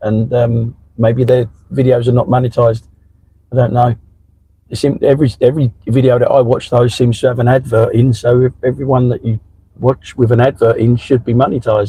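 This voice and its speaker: Speaking at a fairly quick pace, a man with a medium pitch and a somewhat breathy voice keeps a monotone, flat intonation and very even loudness. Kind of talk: casual live-stream chat while driving.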